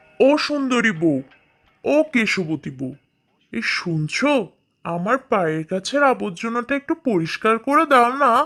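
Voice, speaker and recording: This is a cartoonish character voice with a fairly high pitch. It moves at a moderate pace. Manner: gentle, sing-song.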